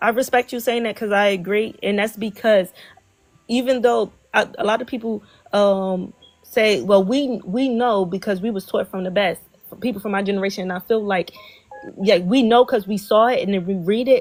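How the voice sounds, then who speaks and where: Speaking at a moderate pace, a woman keeps a medium pitch with fairly even intonation. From Philadelphia, US. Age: 20s. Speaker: livestream host. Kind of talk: casual interview chat. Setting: livestream.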